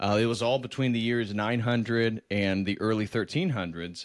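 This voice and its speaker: In a very clean recording with a silent background, a man with an American accent talks at a fairly quick pace in an ordinary speaking voice. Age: 30s. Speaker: PhD student and religious YouTuber. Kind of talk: casual interview conversation.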